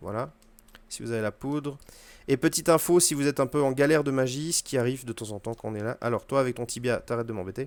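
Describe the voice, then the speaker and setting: With a French accent, a man talks at a very fast pace and medium pitch with ordinary pitch variation, on a very clean recording with a silent background. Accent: poor English pronunciation, self-remarked. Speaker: video game streamer. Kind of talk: gameplay tutorial commentary. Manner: casual, hesitant with fillers.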